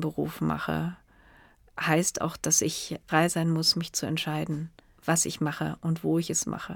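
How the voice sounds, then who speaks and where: This woman's pitch sits fairly low. Her delivery comes at a fairly slow pace. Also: very clean recording, silent background. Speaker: cinematographer. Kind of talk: interview. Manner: hesitant, many fillers.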